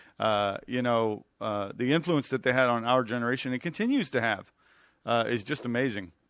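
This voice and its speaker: This man has a normal speaking voice at medium pitch. He uses ordinary pitch variation and a moderate pace. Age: 50s. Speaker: radio host. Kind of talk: casual chat.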